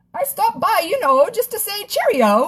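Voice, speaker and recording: A woman puts on a squeaky character voice at an extremely high pitch. Her pitch swings very wide. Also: moderate pace. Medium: read story. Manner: breezy, posh.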